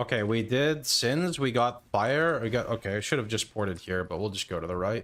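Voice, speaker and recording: A man with an American accent, medium in pitch, at a moderate pace with lively intonation, on a very clean recording with a silent background. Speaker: game streamer. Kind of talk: live stream chat. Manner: casual, halting.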